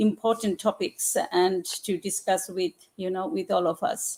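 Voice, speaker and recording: In a Bengali accent, the speaker talks at a fairly slow pace with fairly even intonation. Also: woman. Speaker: general practitioner. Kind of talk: panel discussion. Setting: online live broadcast. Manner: halting, many fillers.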